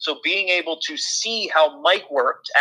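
A man is heard here. His speech carries an American accent. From western Pennsylvania (Pittsburgh). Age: 20s. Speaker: hockey play-by-play broadcaster. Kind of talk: interview.

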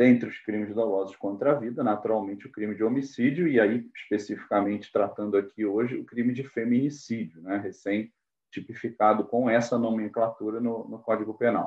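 Speaking at a fairly quick pace with hardly any pauses, a man of medium pitch keeps a fairly even intonation. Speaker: judge and law professor. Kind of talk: lecture-style interview. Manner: halting.

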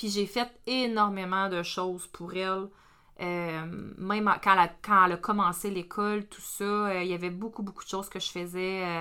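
In a Quebec accent, a woman speaks at a fairly slow pace with a bright, sharp tone, medium pitch and monotone, flat intonation. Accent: Québécois French. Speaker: perinatal educator. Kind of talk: casual podcast discussion.

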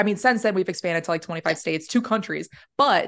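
With an American accent and lively intonation, a woman speaks at medium pitch in a plain, everyday voice over a quiet background. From New York. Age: 30s. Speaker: real estate agent, Air Force veteran. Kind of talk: casual interview chat.

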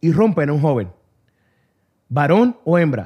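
The recording is very clean, with a silent background. A man talks fairly slowly, his pitch swinging very widely. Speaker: radio host. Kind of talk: casual radio talk show, bilingual Spanish-English. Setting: radio studio. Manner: animated, upbeat.

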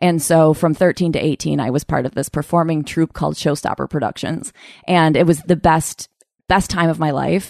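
With vocal fry and an American accent, the speaker keeps a moderate pace and fairly even intonation over a quiet background. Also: woman, very deep, low pitch for a woman. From Upstate New York (Utica area). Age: 30s. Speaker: comedian and podcast host. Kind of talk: casual interview chat.

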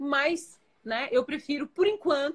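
A woman speaks with ordinary pitch variation. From Florianópolis, southern Brazil. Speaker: entrepreneur and life coach. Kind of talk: live-stream interview.

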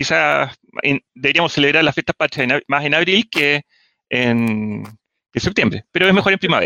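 A man with a Chilean accent speaks in a fairly high pitch with lively intonation. His loudness stays very even, with long, frequent pauses. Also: moderate pace. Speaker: engineer and history enthusiast. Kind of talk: casual chat.

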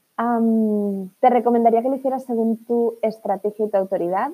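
Dark and mellow, a woman's voice moves at a moderate pace. Pitch variation stays ordinary. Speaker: business coach. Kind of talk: motivational monologue. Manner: animated; repetitive fillers.

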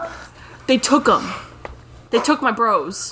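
Using a put-on character voice, a woman drawls at a fairly slow pace. Her pitch sits high. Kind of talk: comic overacting. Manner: laid-back surfer drawl, says bro constantly.

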